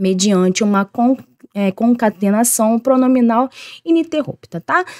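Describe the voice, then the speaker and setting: Woman with a strong Rio de Janeiro accent, fairly high pitch, lively intonation and a dark, mellow tone, in a dry, close sound with no echo. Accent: strong carioca accent with hissing s. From Rio de Janeiro, Brazil. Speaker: teacher. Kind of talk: online lesson. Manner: informal, conversational.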